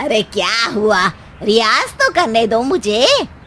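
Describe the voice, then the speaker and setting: Using a cartoonish character voice, a woman speaks fairly slowly at a fairly high pitch over clear background noise. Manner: loud, self-assured.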